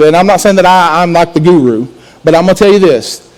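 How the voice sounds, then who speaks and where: There is noticeable background noise behind a man speaking at a high pitch. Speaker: student pastor. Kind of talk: sermon. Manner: loud.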